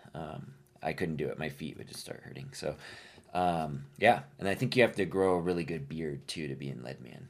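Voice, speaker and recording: This man has a very deep, low pitch and some vocal fry, with an American accent. He moves at a moderate pace, with ordinary pitch variation and big swings in loudness. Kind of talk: casual chat. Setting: studio.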